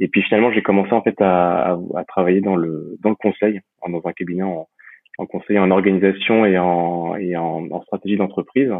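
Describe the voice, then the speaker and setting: Very deep, low pitch from a man, with fairly even intonation at a moderate pace. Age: 30s. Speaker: real estate investor and entrepreneur. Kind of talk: interview. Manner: halting, many repetitions and fillers.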